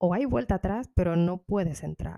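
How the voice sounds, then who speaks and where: A medium-pitched woman's voice, dark and mellow in tone, at a moderate pace, dry and close with no echo, on a very clean recording against a silent background. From Dominican Republic. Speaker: podcaster. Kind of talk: personal storytelling monologue.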